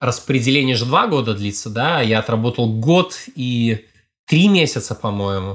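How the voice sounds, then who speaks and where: An unremarkable speaking voice at a moderate pace, with lively intonation. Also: man, medium pitch for a man, very clean recording, silent background. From Belarus, Brest. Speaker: foreign policy analyst, former diplomat. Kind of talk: interview. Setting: studio.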